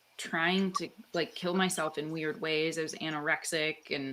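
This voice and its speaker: Noticeable background noise surrounds a woman with a fairly low pitch. She speaks at a fairly slow pace with ordinary pitch variation. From Canada. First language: Italian. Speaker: author and guest. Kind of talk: casual interview chat. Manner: animated, filler-heavy.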